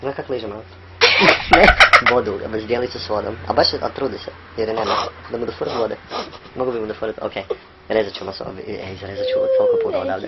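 A man's fairly quick speech with long, frequent pauses and big swings in loudness, over noticeable background noise. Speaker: podcast co-host. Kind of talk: casual chat. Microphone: poor recording quality.

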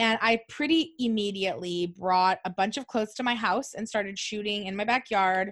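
Ordinary pitch variation and a moderate pace from a woman with a medium pitch. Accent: American. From Southern California, Orange County. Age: 30s. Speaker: stylist and business owner. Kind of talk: casual chat. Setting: video call.

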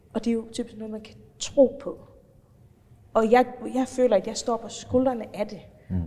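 Fairly high female speech, moderately paced, over noticeable background noise. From Faroe Islands. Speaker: politician. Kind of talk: interview.

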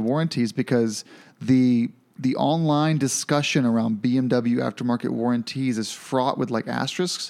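A man with an unremarkable speaking voice talks at a medium pitch and a moderate pace, with fairly even intonation and very even loudness, on a very clean recording with a silent background. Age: 30s. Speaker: motorcycle podcast host. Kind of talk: casual chat.

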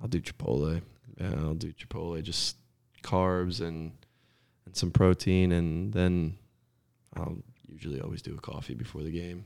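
With a New Jersey accent, a man speaks at a moderate pace in a very deep, low pitch with ordinary pitch variation and long, frequent pauses, on a very clean recording with a silent background. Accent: New Jersey American. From North Jersey, US. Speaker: professional soccer player. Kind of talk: casual interview chat.

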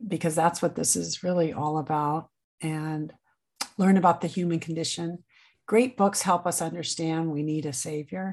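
A normal speaking voice with an American accent goes at a moderate pace. Pitch varies in an ordinary way over a quiet background. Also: woman, fairly low pitch for a woman. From Nebraska. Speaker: author and book club founder. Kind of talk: interview.

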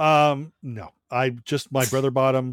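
A man with an unremarkable speaking voice talks at a medium pitch and a fairly slow pace. The recording is very clean with a silent background and a dry, close sound with no echo. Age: 50s. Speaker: music journalist and YouTube host. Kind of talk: casual chat.

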